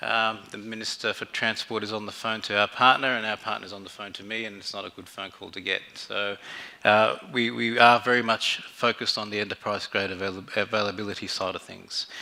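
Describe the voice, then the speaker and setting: With an Australian accent, a man speaks at a fairly quick pace with hardly any pauses, his fairly low voice monotone and flat while its loudness swings widely. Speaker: fintech general manager. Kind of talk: conference talk. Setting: stage with audience. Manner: halting, many fillers.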